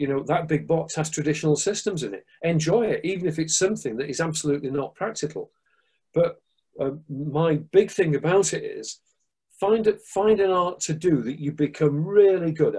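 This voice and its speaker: A man with a Manchester accent speaks at a moderate pace and a high pitch. His tone is dark and mellow over a quiet background. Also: ordinary pitch variation. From northern England, Manchester. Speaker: martial arts instructor and security expert; martial arts instructor. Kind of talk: interview. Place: home room. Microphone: video call.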